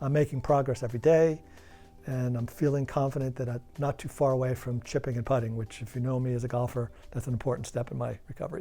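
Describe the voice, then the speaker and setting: Music plays behind a man speaking very fast. His medium-pitched voice keeps a fairly even intonation. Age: 60s. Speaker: knee surgery patient. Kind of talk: testimonial interview.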